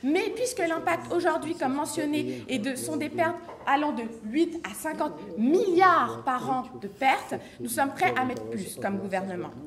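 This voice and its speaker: A woman speaks at a fairly slow pace in a high pitch with very wide pitch swings. Noticeable background noise and audible room echo fill the recording. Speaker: student debater. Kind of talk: competitive debate speech. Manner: formal; halting, frequent self-corrections.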